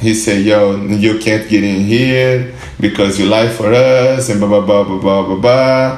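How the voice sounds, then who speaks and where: A man with a Portuguese accent talks at a fairly slow pace in a fairly low pitch, with hardly any pauses. Noticeable background noise runs underneath. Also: ordinary pitch variation. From southern Brazil, Porto Alegre. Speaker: pro skateboarder. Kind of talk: interview. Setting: studio.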